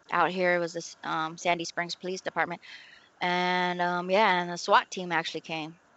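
Her intonation monotone and flat, a woman with a fairly low pitch speaks at a moderate pace. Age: 40s. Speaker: domestic violence survivor. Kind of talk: casual chat. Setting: video call. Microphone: bad internet connection, dropouts.

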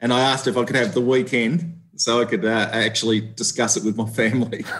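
With an Australian accent, a man of medium pitch speaks at a fairly quick pace and very even loudness. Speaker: police officer. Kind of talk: interview. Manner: halting.

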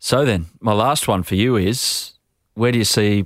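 In a very clean recording with a silent background, a man with an Australian accent speaks in a fairly low voice, his intonation fairly even and the sound dry and close with no echo. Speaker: podcast host. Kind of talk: interview; scripted narration. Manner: casual, jokey.

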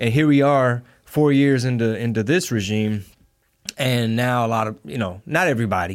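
With an American accent, a man in an unremarkable speaking voice talks at a moderate pace, at a medium pitch with ordinary pitch variation. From Texas. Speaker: comedian and rapper. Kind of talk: casual chat. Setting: studio.

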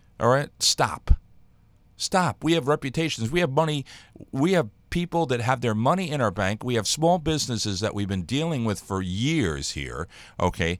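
An American-accented man speaks in an angry, animated tone, his pitch swinging very widely. The recording is very clean, with a silent background. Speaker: radio show host. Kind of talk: opinionated talk radio rant.

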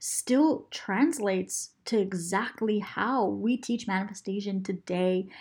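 A woman speaks in an animated, enthusiastic tone, somewhat breathy. The recording is very clean, with a silent background. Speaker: podcast host and mindset coach. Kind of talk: solo podcast episode, motivational teaching.

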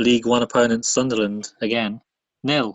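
Speaking with a British accent, a man holds a medium pitch. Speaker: podcast co-host. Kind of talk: casual chat.

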